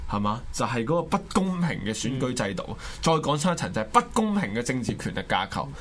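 In a Hong Kong accent, a man with a medium pitch talks fairly quickly in an animated tone, with very wide pitch swings and hardly any pauses, against noticeable background noise. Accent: Hong Kong Cantonese. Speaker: political talk show host. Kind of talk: political commentary.

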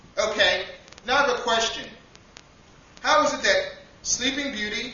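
At a moderate pace, a man with an extremely high pitch speaks in an animated, deadpan tone against noticeable background noise. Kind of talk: spoken-word comedic monologue. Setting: stage with audience, live poetry cafe. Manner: animated, deadpan comic delivery with absurd punchlines and rhetorical asides.

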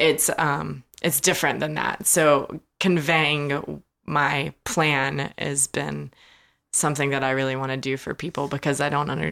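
A woman speaks with a very deep, low voice and vocal fry. Her intonation is fairly even. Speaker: small food business owner. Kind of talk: casual interview.

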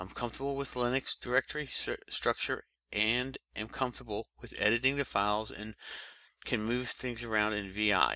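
With an American accent, a man of medium pitch talks at a moderate pace in a bright, sharp tone and fairly even intonation, the sound dry and close with no echo on a very clean, silent-background recording. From US East Coast. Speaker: podcast co-host. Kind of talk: casual podcast discussion.

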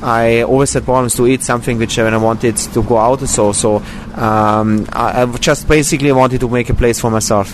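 At a moderate pace, a man speaks at a medium pitch with fairly even intonation. Noticeable background noise runs underneath. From Austria. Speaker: vegan restaurant owner. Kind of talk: interview. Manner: halting, many fillers.

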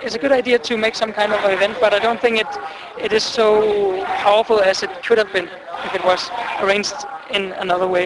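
There is noticeable background noise as a man talks. His voice is high in pitch, with fairly even intonation. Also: fairly quick pace. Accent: Danish. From Denmark. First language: Danish. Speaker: exchange student. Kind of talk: street interview. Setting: outdoors.

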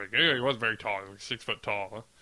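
A man speaks at a fairly quick pace with a medium pitch and ordinary pitch variation. His is an unremarkable speaking voice. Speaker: podcast co-host. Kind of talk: casual chat.

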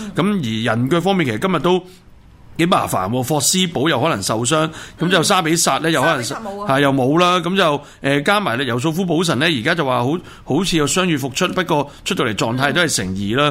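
A man talks at a fairly quick pace with lively intonation and a fairly high pitch. Noticeable background noise is present. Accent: Hong Kong. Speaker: radio host, football talk. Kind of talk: casual chat about football and news.

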